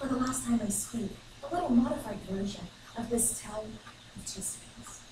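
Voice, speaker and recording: Noticeable background noise and audible room echo surround this speaker. A woman with a fairly high pitch talks at a moderate pace. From China. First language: Chinese. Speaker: student giving a speech. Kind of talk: ceremonial speech. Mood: reflective, sentimental. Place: classroom. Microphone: camera far.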